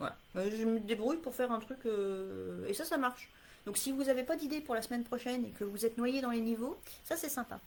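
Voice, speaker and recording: A woman speaks at a fairly quick pace. Her voice is high-pitched. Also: ordinary pitch variation. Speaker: English teacher. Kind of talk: live stream talk answering viewer questions. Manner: hesitant, many fillers.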